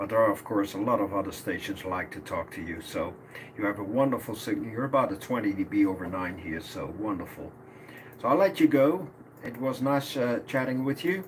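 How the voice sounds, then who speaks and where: The speaker talks at a fairly quick pace with very wide pitch swings over noticeable background noise. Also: man, medium pitch for a man. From Netherlands, Almelo. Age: 60s. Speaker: amateur radio operator, law enforcement officer. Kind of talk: ham radio contact. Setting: radio transmission. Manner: halting, many fillers.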